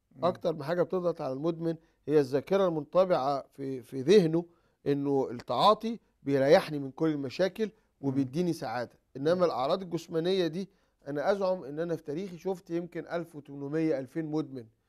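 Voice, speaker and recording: Against a quiet background, a man with a normal speaking voice talks at a moderate pace, his fairly high pitch showing ordinary pitch variation. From Egypt. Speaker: psychiatrist and addiction expert. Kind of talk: TV talk show interview. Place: studio. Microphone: lapel.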